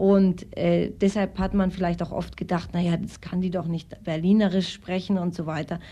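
A woman speaks in a fairly low pitch with a dark, mellow tone and a somewhat breathy quality. Her intonation is flat and monotone, and she hardly pauses at all. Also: moderate pace. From Austria. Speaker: actress and singer. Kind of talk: interview.

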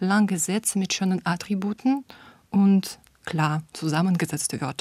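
A somewhat breathy voice with a Russian accent moves at a fairly slow pace with ordinary pitch variation. The recording is very clean and dry, close with no echo, over a silent background. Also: woman. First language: Russian (speaking German). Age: 30s. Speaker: German teacher. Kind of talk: personal portrait monologue.

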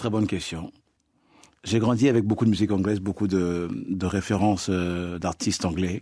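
Over a quiet background, a man with a very deep, low pitch and a dark, mellow tone speaks at a moderate pace with fairly even intonation and long, frequent pauses. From Congo. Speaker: afrofunk singer. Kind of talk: radio interview. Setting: studio.

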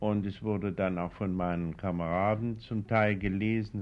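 A man speaks with fairly even intonation. His pitch sits fairly low. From Thuringia, Nordhausen am Harz. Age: 60s. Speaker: poet and novelist. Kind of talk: interview. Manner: hesitant, with filler sounds.

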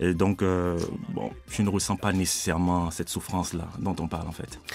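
A man at a moderate pace. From Benin. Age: 30s. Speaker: student and rapper. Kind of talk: interview. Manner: halting, with many fillers.

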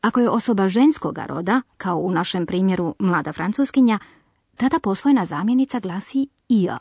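In a quiet background, a woman speaks at a moderate pace in a medium, somewhat breathy voice with lively intonation, the sound dry and close with no echo. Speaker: language course presenter. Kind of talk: language lesson, explanatory narration. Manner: clear, didactic.

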